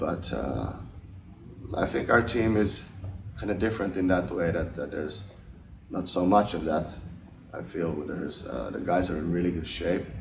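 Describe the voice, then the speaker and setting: Amid audible room echo, a man with a very deep, low pitch and ordinary pitch variation speaks at a moderate pace, with long, frequent pauses. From Finland. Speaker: ice hockey player. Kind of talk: interview. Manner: halting.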